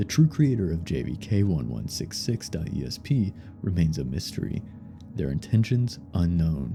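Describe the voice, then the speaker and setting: A man's very deep, low voice with very wide pitch swings at a moderate pace, music in the background. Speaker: horror story narrator. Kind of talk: creepypasta horror narration.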